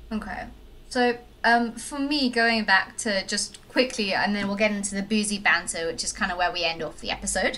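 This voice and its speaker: With a South African accent, a woman speaks at a fairly quick pace. Her pitch is medium, with ordinary variation. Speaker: podcast host. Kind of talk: casual chat. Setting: remote call.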